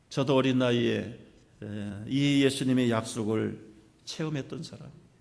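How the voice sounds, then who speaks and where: Audible room echo surrounds a man who speaks at a fairly slow pace with fairly even intonation. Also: medium pitch for a man. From South Korea, Jeolla region (Suncheon area). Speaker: pastor. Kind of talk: sermon.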